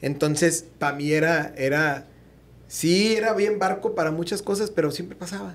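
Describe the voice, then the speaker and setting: A man speaks with a high pitch. His pace is moderate. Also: ordinary pitch variation. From Mexico. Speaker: podcast host. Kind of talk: casual interview chat. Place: studio. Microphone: studio mic.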